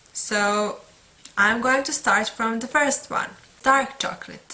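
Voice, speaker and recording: The speaker talks at a very slow pace with a Serbian accent. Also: woman. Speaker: book vlogger. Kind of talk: casual monologue. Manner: halting.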